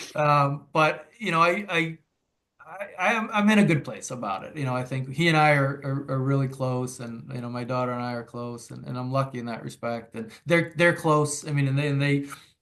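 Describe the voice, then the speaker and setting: With an American accent, a man talks at a fairly quick pace in a bright, sharp tone, his fairly high pitch paired with big swings in loudness. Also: ordinary pitch variation. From Massachusetts, near Boston. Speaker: author and father. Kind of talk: interview. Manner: halting, many repeated words.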